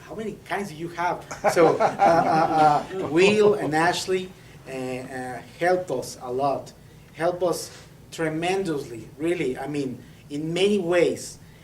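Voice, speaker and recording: A man talks in a high pitch with ordinary variation and big swings in loudness. Noticeable background noise and audible room echo surround him. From Mexico, Saltillo (northern Mexico). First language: Spanish. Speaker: preacher, seminary student. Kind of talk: sermon. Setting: church. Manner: halting, many fillers and repetitions.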